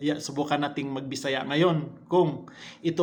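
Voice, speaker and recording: His intonation is monotone and flat. The man talks at a moderate pace in a fairly high voice. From Visayas, Philippines. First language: Cebuano (Bisaya) (speaking Tagalog). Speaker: vlogger. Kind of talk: casual vlog talk to camera.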